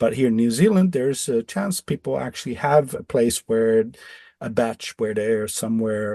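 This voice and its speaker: With a Dutch accent, a man speaks in a dark, mellow tone at a medium pitch with ordinary pitch variation, the sound dry and close with no echo. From Netherlands. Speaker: electrosensitive off-grid designer. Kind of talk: podcast interview. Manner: halting, many repetitions.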